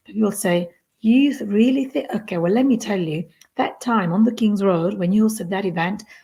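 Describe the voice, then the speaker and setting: A very fast, somewhat breathy voice with a dark, mellow tone and a Neapolitan accent, in a very clean recording with a silent background. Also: woman. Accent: Italian (Neapolitan) accent in English. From southern Italy, Naples. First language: Italian. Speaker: community founder. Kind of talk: podcast interview. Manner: animated.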